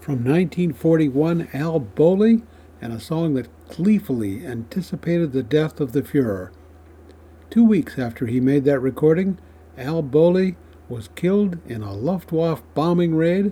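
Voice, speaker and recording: Somewhat breathy and dark, mellow in tone, a man speaks at a fairly slow pace with a fairly high pitch and very wide pitch swings. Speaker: radio host. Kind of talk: scripted narration.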